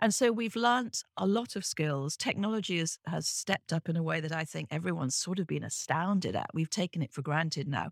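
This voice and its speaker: Recorded very cleanly with a silent background and a dry, close sound with no echo, a woman with a British accent speaks at fairly low pitch with lively intonation and vocal fry. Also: fairly quick pace, hardly any pauses. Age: 60s. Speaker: business professor and author. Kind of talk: interview conversation.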